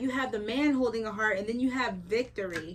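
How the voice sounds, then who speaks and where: A woman with a high pitch and ordinary pitch variation speaks at a fairly quick pace over noticeable background noise. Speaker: tarot reader. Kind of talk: tarot reading monologue. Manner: animated; fast.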